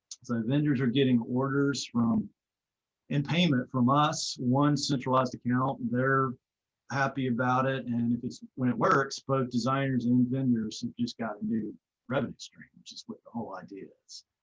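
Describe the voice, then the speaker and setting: A plain, everyday voice from a man, medium in pitch at a moderate pace, with ordinary pitch variation, big swings in loudness and a dry, close sound with no echo. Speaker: startup founder presenting a product. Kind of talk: webinar product demo.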